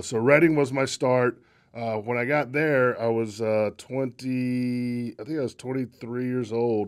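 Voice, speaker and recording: A man speaks with a North Carolina accent at a medium pitch and a very slow pace. His intonation is fairly even, and the background is quiet. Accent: Southern US (North Carolina). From North Carolina, Locust. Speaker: baseball executive; interview guest. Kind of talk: casual chat. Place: studio. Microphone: studio mic.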